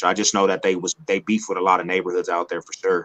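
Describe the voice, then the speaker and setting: A man speaks with an American accent. His tone is bright and sharp. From Denver, Colorado. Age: 30s. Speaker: former gang member, musician. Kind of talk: interview.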